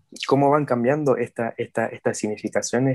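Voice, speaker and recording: The sound is close and dry, without any echo. His intonation stays fairly even as the man speaks. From Mexico. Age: 20s. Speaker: journalism student and HIV activist. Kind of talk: casual interview conversation.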